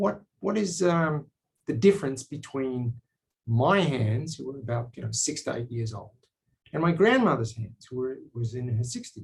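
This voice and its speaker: Somewhat breathy, a man with an Australian accent speaks at medium pitch and a moderate pace with lively intonation. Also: big swings in loudness. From Australia, South Sydney. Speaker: biotech company executive and scientist. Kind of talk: personal talk to camera. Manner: hesitant with fillers.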